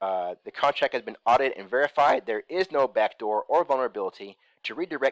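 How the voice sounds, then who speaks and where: An ordinary speaking voice from a man at a medium pitch and moderate pace, in a very clean recording with a silent background and a dry, close sound with no echo. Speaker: crypto investment YouTuber. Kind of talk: screen-share tutorial. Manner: casual, many fillers.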